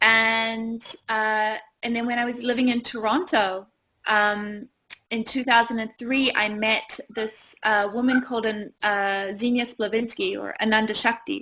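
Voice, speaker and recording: A bright, sharp tone carries a New Zealand accent at a fairly slow pace. Intonation is fairly even, and the recording is very clean with a silent background. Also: woman, fairly high pitch for a woman. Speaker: yoga teacher and retreat owner. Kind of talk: interview.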